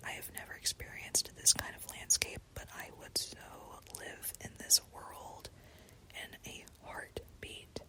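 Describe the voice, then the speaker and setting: Someone whispers at a fairly slow pace with an American accent over noticeable background noise. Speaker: gaming ASMR creator. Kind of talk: ASMR gameplay commentary. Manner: soft-spoken.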